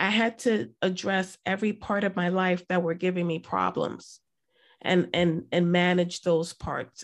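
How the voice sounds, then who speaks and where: With an American accent, a woman uses a normal speaking voice at a fairly low pitch and fairly slow pace. Her intonation is fairly even against a quiet background. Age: 40s. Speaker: mental health advocate. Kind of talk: personal testimony.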